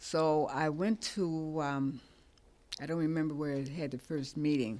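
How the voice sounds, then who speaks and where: Someone speaks at a very slow pace in a very clean recording with a silent background. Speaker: community member speaker. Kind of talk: testimony. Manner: soft-spoken.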